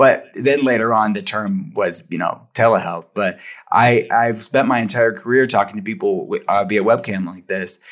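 Speaking with an American accent, a man uses an ordinary speaking voice at a medium pitch, with lively intonation and hardly any pauses. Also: moderate pace. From Western Pennsylvania, Pittsburgh. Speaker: functional medicine practitioner. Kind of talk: interview.

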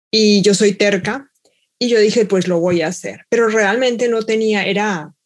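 A woman talks fairly slowly at medium pitch with fairly even intonation. She has an ordinary speaking voice. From Colombia, Bogotá. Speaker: mathematics professor. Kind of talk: panel discussion.

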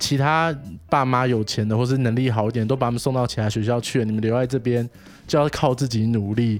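A man at medium pitch and a very fast pace, with fairly even intonation over music in the background. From Taiwan, Wanhua district of Taipei. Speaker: social worker. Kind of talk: casual interview chat.

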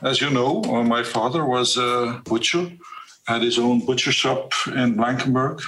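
A medium-pitched male voice at a fairly slow pace, with fairly even intonation, very even loudness and audible room echo. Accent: Dutch. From Flanders, Belgium. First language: Dutch. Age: 50s. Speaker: witness. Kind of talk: interview. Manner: earnest and direct; halting.

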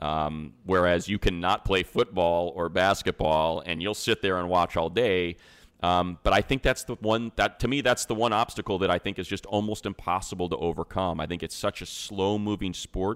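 A man with a very deep, low pitch speaks at a moderate pace with ordinary pitch variation and hardly any pauses, in a very clean recording with a silent background and a dry, close sound with no echo. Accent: American. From US Midwest, Northwest Indiana / Chicago area. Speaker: sports play-by-play announcer. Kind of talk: casual chat.

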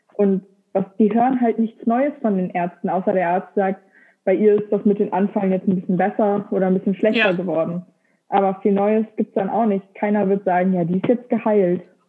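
A woman's normal speaking voice at medium pitch, fairly quick in pace, with very even loudness and fairly even intonation. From Lower Saxony, Germany. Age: 20s. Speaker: engineering graduate, epilepsy social media creator. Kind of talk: casual interview conversation.

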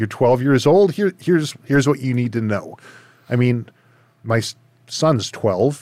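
Speaking at a fairly slow pace in a normal speaking voice, a man with a Canadian accent uses lively intonation at a medium pitch. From Surrey, British Columbia, Canada. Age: 40s. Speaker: podcast host, firearms and outdoor trainer. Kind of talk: casual interview chat. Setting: video call.

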